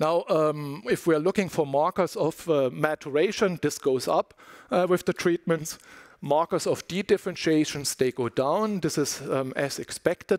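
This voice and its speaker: In a dry, close recording with no echo, a man with a fairly high pitch talks at a moderate pace with ordinary pitch variation in an ordinary speaking voice. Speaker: scientist giving a research talk. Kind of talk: conference lecture.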